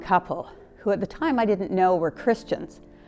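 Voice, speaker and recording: Music plays in the background. Over it, a woman speaks very fast at a medium pitch. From Victoria, British Columbia, Canada. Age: 60s. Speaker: church member. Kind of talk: testimony.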